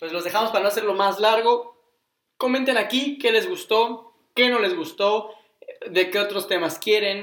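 A man's high voice moves at a moderate pace, showing ordinary pitch variation. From Mexico, Cuernavaca, Morelos. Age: 20s. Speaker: podcast co-host. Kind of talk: casual chat.

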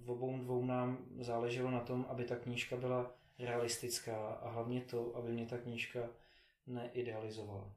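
Against noticeable background noise, a man speaks at a medium pitch and moderate pace in a flat monotone with very even loudness. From Czechia, Prague. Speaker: philanthropist and triathlete. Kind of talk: interview. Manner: halting, many fillers.

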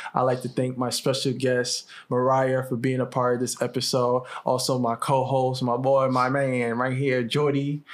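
With hardly any pauses, a man talks in a medium pitch at very even loudness and with monotone, flat intonation. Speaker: podcast host. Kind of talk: casual chat. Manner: fast when passionate.

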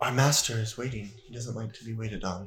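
A man's put-on robotic character voice, medium in pitch, at a very fast pace, with fairly even intonation and big swings in loudness. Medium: actual play. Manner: mechanical, reserved.

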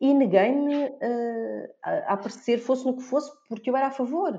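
A woman's dark, mellow tone at a fairly slow pace, in a Lisbon accent, over a quiet background. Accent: European Portuguese, Lisbon. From Portugal, Lisbon area. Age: 40s. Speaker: blogger and author. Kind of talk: casual chat.

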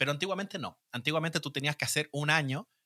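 A man at a very fast pace, dry and close with no echo, in a very clean recording with a silent background. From Chile. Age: 40s. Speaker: Chilean expat in Spain. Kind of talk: casual chat.

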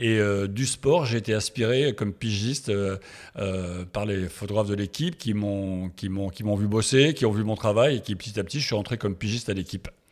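On a very clean recording with a silent background, a man talks at a moderate pace in a fairly low pitch with ordinary pitch variation. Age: 60s. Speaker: sports photographer. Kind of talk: interview. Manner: halting.

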